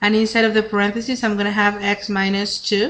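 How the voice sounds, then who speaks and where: A woman's fairly high voice at a fairly quick pace. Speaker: math teacher. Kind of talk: lecture. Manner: fast.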